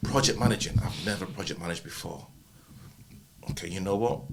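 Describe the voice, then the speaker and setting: The voice of a man comes through very deep and low in pitch. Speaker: wedding videographer and podcaster. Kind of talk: podcast conversation. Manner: halting, many fillers.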